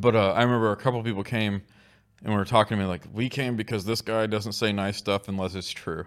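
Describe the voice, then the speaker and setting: Talking at a very fast pace, a man with a fairly low pitch and an American accent keeps his intonation fairly even. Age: 40s. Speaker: barbecue restaurant owner. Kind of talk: casual chat.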